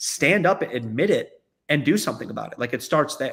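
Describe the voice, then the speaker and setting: Fairly quick and fairly high in pitch, a man talks in a plain, everyday voice. The recording is very clean, with a silent background. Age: 30s. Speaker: company founder. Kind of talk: interview conversation.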